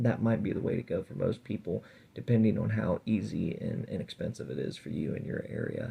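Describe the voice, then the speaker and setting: A man speaks with fairly low pitch and vocal fry. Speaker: reptile keeper and video host. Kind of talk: tutorial. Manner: casual, halting with fillers.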